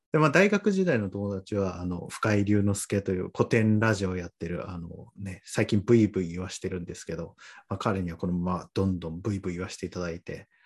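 With a very deep, low pitch, a man talks at a fairly quick pace, his intonation fairly even but his loudness swinging widely. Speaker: podcast guest. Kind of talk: casual chat.

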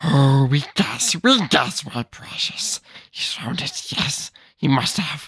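The voice is a put-on character voice with a low-to-middle pitch. It moves at a very slow pace. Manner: imitation, self-described as imperfect.

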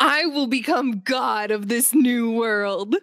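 Slowing to a fairly slow pace, a female-sounding voice puts on a character voice at a fairly high pitch. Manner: dramatic, grandiose.

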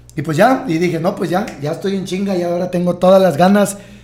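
There is noticeable background noise behind this man. He talks at a fairly quick pace in a high pitch. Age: 30s. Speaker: entrepreneur. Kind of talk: casual chat. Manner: halting.

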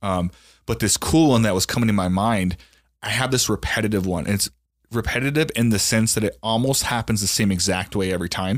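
A man with an unremarkable speaking voice talks at a fairly quick pace and fairly low pitch, with ordinary pitch variation. His loudness is very even, and the recording is very clean with a silent background. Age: 30s. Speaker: podcast host. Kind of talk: casual chat.

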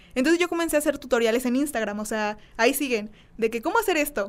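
Her high voice moves along at a fairly quick pace. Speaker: content creator. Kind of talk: casual chat.

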